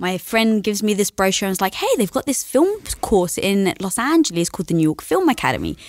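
A woman with an English accent at a medium pitch, very fast and with hardly any pauses, lively intonation, a dry, echo-free sound and a quiet background. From London, England. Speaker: entrepreneur; podcast guest. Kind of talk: interview conversation. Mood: upbeat, animated. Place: studio. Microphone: studio mic.

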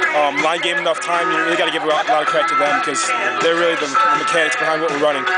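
Loud music plays in the background. Over it, a man talks at a very fast pace. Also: dry sound with no echo. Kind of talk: interview answer. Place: stadium.

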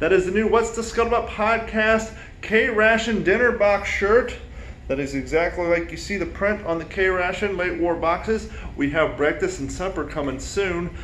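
Amid light background noise and audible room echo, a man speaks in a high voice at a moderate pace, with ordinary pitch variation. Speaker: hobbyist channel host. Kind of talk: casual vlog chat and tutorial. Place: home room. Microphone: phone near.

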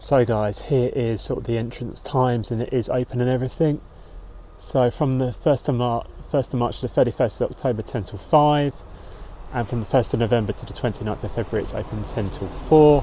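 A man at a fairly quick pace, with a dry sound with no echo and light background noise. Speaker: travel vlogger. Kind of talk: casual vlog chat. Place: forest. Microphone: phone near.

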